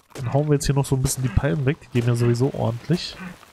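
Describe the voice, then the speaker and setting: Somewhat breathy, a man speaks at a medium pitch. His pace is very fast. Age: 30s. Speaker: gaming YouTuber. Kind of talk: let's play commentary. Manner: casual, many filler words.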